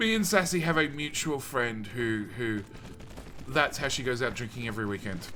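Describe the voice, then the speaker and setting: Lively intonation marks a man speaking at a moderate pace amid noticeable background noise. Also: medium pitch for a man. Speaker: video game streamer. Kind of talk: casual live-stream chat while gaming. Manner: loud; casual, filler-heavy.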